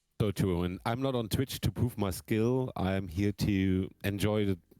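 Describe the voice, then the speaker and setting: Speaking at a fairly slow pace with a German accent, a man has a very deep, low pitch, a dark, mellow tone and ordinary pitch variation, in a dry, close sound with no echo. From Germany. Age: 30s. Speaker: drummer. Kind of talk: casual chat. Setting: live stream.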